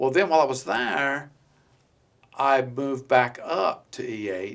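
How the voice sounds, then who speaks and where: A normal speaking voice from a man, moderately paced, medium-pitched, its pitch varying in an ordinary way. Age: 60s. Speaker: war veteran. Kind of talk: casual chat.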